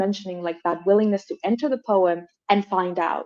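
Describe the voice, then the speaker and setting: A woman with a Colombian accent speaks at medium pitch with ordinary variation. The sound is dry and close, with no echo. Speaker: moderator, translator and scholar. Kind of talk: panel conversation.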